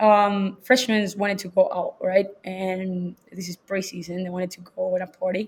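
A woman's medium-pitched, somewhat breathy voice in a Spanish accent, with monotone, flat intonation at a moderate pace. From Chile. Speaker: college soccer coach. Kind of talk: casual interview chat.

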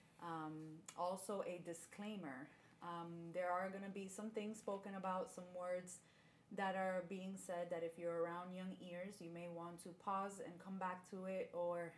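This woman's intonation stays monotone and flat. She talks at a fairly slow pace. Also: medium pitch for a woman. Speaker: podcast host. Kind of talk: casual chat, faith podcast.

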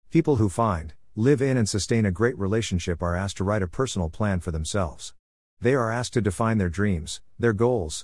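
A man speaks with an unremarkable speaking voice and a fairly low pitch. His intonation is lively, and the background is quiet. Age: 60s. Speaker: author and relationship coach. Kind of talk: audiobook narration.

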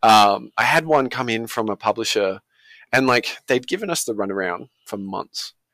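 In an Australian accent, a man talks at a moderate pace with a bright, sharp tone, in a dry, close sound with no echo and a very clean recording with a silent background. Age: 30s. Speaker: indie game studio founder. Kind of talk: casual interview.

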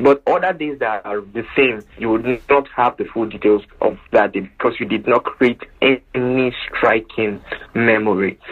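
Amid noticeable background noise, a man speaks fairly slowly at a medium pitch with ordinary pitch variation. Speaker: entrepreneur. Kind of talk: interview.

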